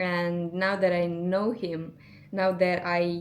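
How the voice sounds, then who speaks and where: A woman with a non-native accent talks in a fairly low pitch and a monotone, flat intonation, with audible room echo around her. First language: not English. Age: 20s. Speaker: vlogger. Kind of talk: casual vlog monologue. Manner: somewhat halting, searching for words.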